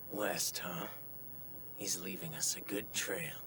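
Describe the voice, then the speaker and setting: A man whispering in a put-on character voice at a fairly slow pace, with clear background noise. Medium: fan dub. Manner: calm, detached.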